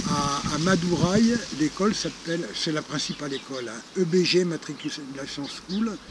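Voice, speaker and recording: Noticeable background noise accompanies speech at a fairly slow pace with ordinary pitch variation. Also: man, fairly high pitch for a man. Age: 60s. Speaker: retired charity founder. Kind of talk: interview. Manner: hesitant, many fillers.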